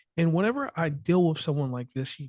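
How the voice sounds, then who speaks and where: Fairly high-pitched male voice with a dark, mellow tone, a slight Appalachian accent and a quiet background. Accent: slight Appalachian twang. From West Virginia. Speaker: podcast host. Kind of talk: interview podcast. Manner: fast.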